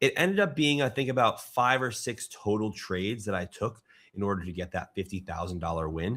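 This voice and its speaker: Fairly low-pitched and bright, sharp in tone, a man talks at a fairly quick pace with lively intonation. The recording is very clean, with a silent background. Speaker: options trader and YouTuber. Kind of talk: casual vlog recap.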